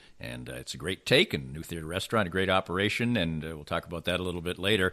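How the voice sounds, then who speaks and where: On a very clean recording with a silent background, a man with a very deep, low pitch speaks in a bright, sharp tone with vocal fry. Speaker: podcast host and interviewer. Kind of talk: interview question.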